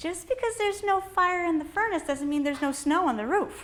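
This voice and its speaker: A woman's squeaky, extremely high put-on character voice, fairly quick in pace and lively in intonation. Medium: comedy sketch. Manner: old-fashioned, fluttery.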